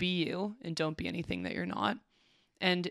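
A woman with vocal fry at a moderate pace, on a very clean recording with a silent background. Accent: Canadian. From Alberta, Canada. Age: 20s. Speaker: college volleyball player and teacher. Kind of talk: casual chat.

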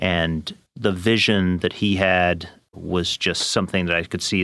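On a very clean recording with a silent background, a man speaks with an English accent in a very deep, low pitch. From England. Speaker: media company executive. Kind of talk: interview.

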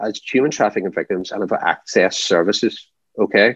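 Here is a man with a Northern Irish accent and a fairly low pitch. The sound is dry and close, with no echo. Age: 40s. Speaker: anti-trafficking campaigner. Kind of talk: interview.

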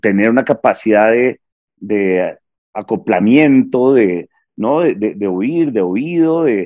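A man's normal speaking voice, medium in pitch, with lively intonation, a fairly slow pace, and a dry, close sound free of echo. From Bogotá, Colombia. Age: 50s. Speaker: stand-up comedian. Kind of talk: casual interview.

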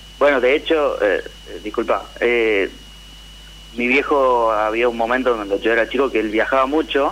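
A man at a moderate pace, with very even loudness. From Tucumán, Argentina. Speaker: caller. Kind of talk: personal testimony.

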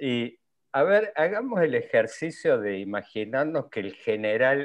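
A plain, everyday voice with lively intonation at a fairly slow pace. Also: man. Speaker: online show co-host. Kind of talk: interview. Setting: video call.

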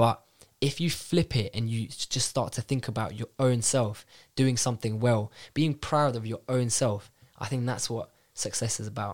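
On a very clean recording with a silent background, a man with a London accent speaks at a medium pitch with fairly even intonation. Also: moderate pace. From North London. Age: 20s. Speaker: bank graduate analyst. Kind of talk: casual chat. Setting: studio.

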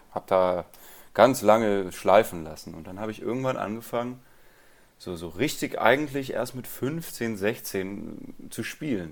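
A man with a plain, everyday voice talks at a moderate pace and medium pitch, using lively intonation. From Rhineland, Germany. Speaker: guitarist and music teacher. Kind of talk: interview.

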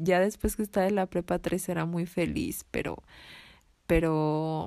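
A woman at a fairly slow pace, in a very clean recording with a silent background. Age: 20s. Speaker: podcast host. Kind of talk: casual monologue. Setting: home bedroom at night. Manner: quieter than usual.

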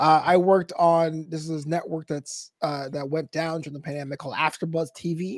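A man talks at a fairly high pitch and a fairly quick pace, with hardly any pauses and big swings in loudness. The recording is very clean, with a silent background. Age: 30s. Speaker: esports commentator and comedian. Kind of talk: interview. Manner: animated.

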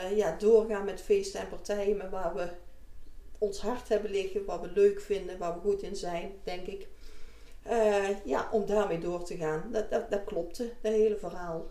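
A woman speaks at a medium pitch and a fairly slow pace. Audible room echo can be heard in the recording. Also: fairly even intonation. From North Brabant (Deurne area), Netherlands. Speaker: business owner. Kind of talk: interview.

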